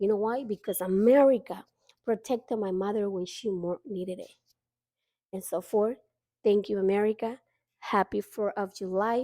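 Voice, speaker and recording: A woman's dark, mellow voice at medium pitch moves at a moderate pace with fairly even intonation and long, frequent pauses, in a very clean recording with a silent background and a dry, close sound with no echo. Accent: Honduran. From Honduras. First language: Spanish. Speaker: vlogger. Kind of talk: casual monologue.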